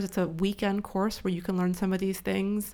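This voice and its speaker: A woman with an American accent uses an ordinary speaking voice at a medium pitch. She speaks at a fairly quick pace on a very clean recording with a silent background. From California. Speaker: business school dean and angel investor. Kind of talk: interview. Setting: studio.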